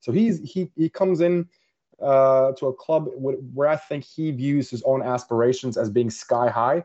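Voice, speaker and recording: A man with a Norwegian accent, fairly high in pitch with ordinary pitch variation, at a fairly slow pace. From Norway. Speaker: football journalist. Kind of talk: podcast interview. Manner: halting, many repetitions and fillers.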